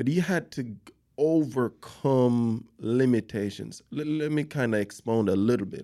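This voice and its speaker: In a non-native accent, a man speaks at a fairly slow pace with a medium pitch, a dark, mellow tone and lively intonation. The recording is very clean, with a silent background. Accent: foreign-accented English. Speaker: podcast host. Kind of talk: casual interview.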